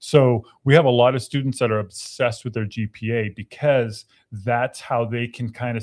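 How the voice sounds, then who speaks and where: A man with an ordinary speaking voice talks at medium pitch and a moderate pace. His intonation is fairly even, on a very clean recording with a silent background. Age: 50s. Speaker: university veteran services staff. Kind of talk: casual chat.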